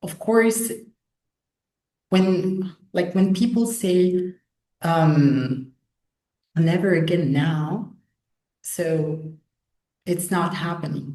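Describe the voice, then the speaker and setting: A woman with a dark, mellow, somewhat breathy voice and fairly low pitch speaks at a very slow pace with long, frequent pauses and ordinary pitch variation. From Canary Islands, Spain. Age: 20s. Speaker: student, young activist. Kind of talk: webinar interview.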